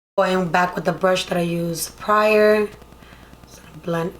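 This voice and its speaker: In a Spanish accent, a woman speaks fairly slowly at a medium pitch, her intonation monotone and flat. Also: big swings in loudness. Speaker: beauty vlogger. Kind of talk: makeup tutorial. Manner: casual, chatty.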